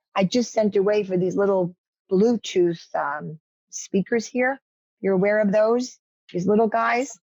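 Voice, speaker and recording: In a New York accent, a woman speaks at a fairly slow pace with medium pitch and ordinary pitch variation. Her loudness stays very even, with a dry, close sound and no echo. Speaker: media trainer. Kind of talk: workshop instruction on video call.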